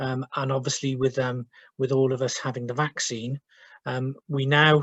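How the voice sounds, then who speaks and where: This is a man at a medium pitch. His intonation is monotone and flat. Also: moderate pace. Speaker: social work team manager. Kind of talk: webinar presentation. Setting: video call from home. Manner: hesitant, many fillers.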